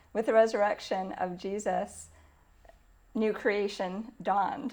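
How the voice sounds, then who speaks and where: A woman speaks with a Canadian accent at a fairly slow pace. Her pitch is medium and her intonation fairly even. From Canada. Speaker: church environmental ministry worker. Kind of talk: interview monologue. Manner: hesitant, with frequent fillers.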